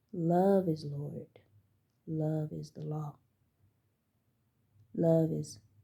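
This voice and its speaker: With long, frequent pauses, a woman speaks very slowly in a dark, mellow tone at a very deep, low pitch, her intonation monotone and flat. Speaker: spiritual channeler and tarot reader. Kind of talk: spiritual channeling monologue. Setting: at home. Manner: halting; soft-spoken.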